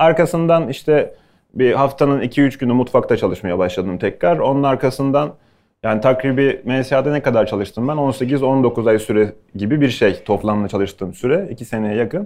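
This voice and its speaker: A man speaks in a plain, everyday voice at a medium pitch and a moderate pace. His pitch variation is ordinary, and the background is quiet. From Bursa, Turkey. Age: 30s. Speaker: chef. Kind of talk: talk to students with Q&A.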